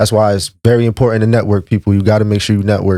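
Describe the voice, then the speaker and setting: A man's voice comes across with a dry, close sound with no echo. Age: 30s. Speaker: rapper. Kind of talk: casual chat. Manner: animated.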